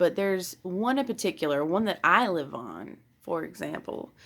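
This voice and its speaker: A woman talks fairly slowly with a Southern US accent. Her voice sits at a medium pitch and rises and falls in a lively way. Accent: Southern US (Georgia). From US South, middle Georgia. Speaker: tarot reader, youtuber. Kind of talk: casual vlog talk to camera. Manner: hesitant, many fillers and restarts.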